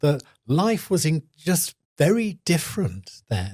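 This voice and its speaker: Somewhat breathy, a man speaks with a dark, mellow tone and lively intonation. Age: 70s. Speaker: activist, HIV long-term survivor. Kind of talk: interview answer.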